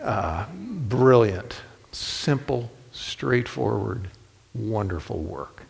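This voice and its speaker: With an American accent and a fairly low pitch, a man talks at a very slow pace with very wide pitch swings in audible room echo. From Ohio, US Midwest (Toledo). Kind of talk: sermon.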